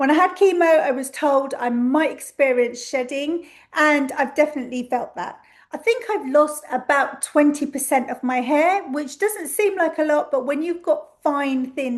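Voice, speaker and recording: A high-pitched woman at a moderate pace with ordinary pitch variation against a quiet background. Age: 50s. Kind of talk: casual talk to camera.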